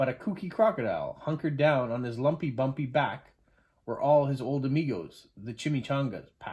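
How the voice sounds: Ordinary pitch movement in a natural reading voice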